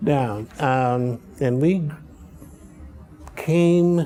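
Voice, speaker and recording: Over music in the background, a man speaks in an American accent with lively intonation. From Chicago, US Midwest. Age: 80s+. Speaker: political science professor. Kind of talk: interview. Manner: halting.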